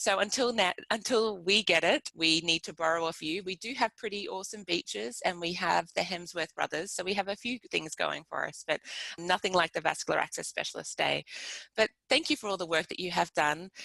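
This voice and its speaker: A woman speaks in an Australian accent at a medium pitch. Her tone is bright and sharp, and her pitch varies in an ordinary way. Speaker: pediatric nurse researcher. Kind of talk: webinar presentation. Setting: live webinar.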